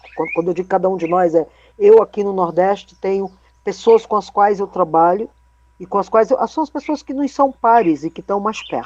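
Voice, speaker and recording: A woman talks at a moderate pace and medium pitch. She has an ordinary speaking voice. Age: 60s. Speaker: tap dance company director. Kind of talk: online meeting discussion.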